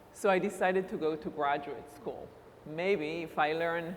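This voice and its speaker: Audible room echo surrounds a woman with a fairly low pitch and an Israeli accent, who speaks at a moderate pace with fairly even intonation. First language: Hebrew. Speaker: university recruitment director. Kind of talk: conference talk.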